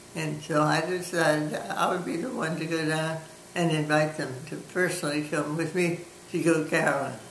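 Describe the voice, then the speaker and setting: A woman with an American accent, very deep, low pitch, fairly even intonation and a moderate pace, with audible room echo and noticeable background noise. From New Orleans, Louisiana. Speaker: grandmother interviewed about her life. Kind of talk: oral history interview. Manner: halting.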